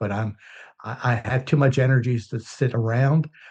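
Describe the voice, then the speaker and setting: Somewhat breathy speech at a moderate pace, fairly even in intonation, over a quiet background. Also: man. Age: 60s. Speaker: business owner and anti-violence event organizer. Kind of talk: interview. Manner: halting, many fillers.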